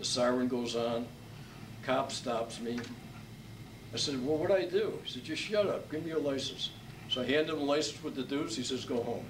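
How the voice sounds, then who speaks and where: A man with an American accent talks at a fairly high pitch and a moderate pace, using ordinary pitch variation and long, frequent pauses. Noticeable background noise and audible room echo fill the recording. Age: 70s. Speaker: author and lawyer. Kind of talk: speaking to an audience.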